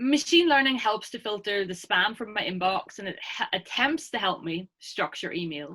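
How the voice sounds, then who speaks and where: With an Irish accent and a bright, sharp tone, a woman speaks at a fairly high pitch and moderate pace, with very wide pitch swings and hardly any pauses, over a quiet background. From Ireland. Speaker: academic researcher; presenter. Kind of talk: lecture. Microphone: webcam.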